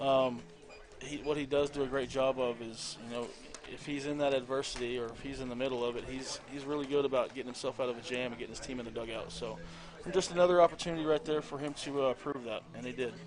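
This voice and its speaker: Noticeable background noise sits behind a man at medium pitch. He talks at a very fast pace with fairly even intonation. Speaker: high school coach and color commentator. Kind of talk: live sports commentary. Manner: trying to speak calmly.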